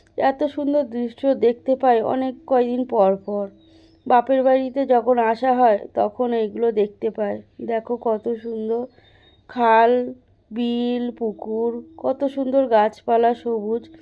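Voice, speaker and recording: A high-pitched woman's voice in a monotone, with flat intonation. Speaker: vlogger. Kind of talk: vlog voice-over.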